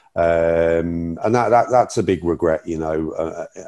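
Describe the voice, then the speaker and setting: Dark, mellow tone with an English accent at a moderate pace, against a quiet background. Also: man. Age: 50s. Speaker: community safety officer, former police officer. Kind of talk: interview. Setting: remote call. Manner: halting.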